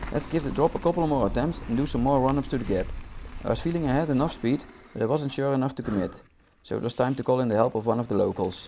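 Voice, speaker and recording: This man speaks at a very fast pace with a non-native accent and a medium pitch. His tone is dark and mellow, with ordinary pitch variation. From Netherlands. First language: Dutch. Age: 30s. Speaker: mountain bike vlogger. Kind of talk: video voice-over narration.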